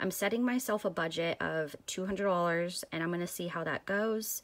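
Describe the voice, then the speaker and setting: A woman talks at a moderate pace, her pitch fairly low. It is an ordinary speaking voice with ordinary pitch variation. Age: 30s. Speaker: crafting vlogger. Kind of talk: casual vlog monologue. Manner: casual, many filler ums.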